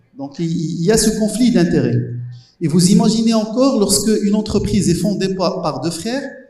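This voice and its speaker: Someone speaks at a moderate pace with audible room echo. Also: man, high pitch for a man, ordinary pitch variation. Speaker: professor. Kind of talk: panel discussion. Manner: halting, many hesitations.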